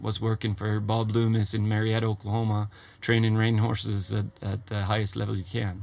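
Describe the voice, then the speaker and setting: A man with a Swedish accent, fairly low pitch, flat monotone intonation and a fairly quick pace. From Sweden, Gotland. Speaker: horse trainer. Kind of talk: interview. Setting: in a trailer.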